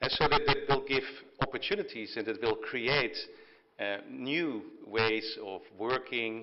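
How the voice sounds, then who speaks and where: A man talks at a fairly slow pace. He has a Dutch accent. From Netherlands. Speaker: technology company executive. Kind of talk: keynote speech at signing ceremony. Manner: halting, many fillers and repetitions.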